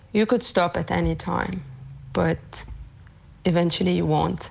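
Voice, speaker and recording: The background stays quiet. A woman talks at a very deep, low pitch. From Lebanon. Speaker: amateur triathlete. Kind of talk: recorded testimony.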